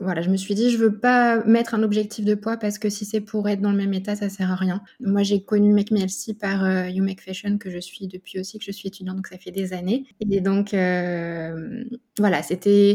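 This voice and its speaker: This woman speaks at a moderate pace and a medium pitch, with monotone, flat intonation. Her tone is dark and mellow and somewhat breathy. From Burgundy, France. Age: 30s. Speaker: speech therapist, dietetic program patient. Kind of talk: interview testimony. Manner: hesitant, many fillers.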